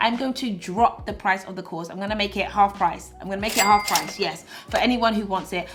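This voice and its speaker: With a British accent, a woman talks at a fairly quick pace and medium pitch with ordinary pitch variation over noticeable background noise. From Britain. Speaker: YouTuber and influencer. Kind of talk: vlog monologue.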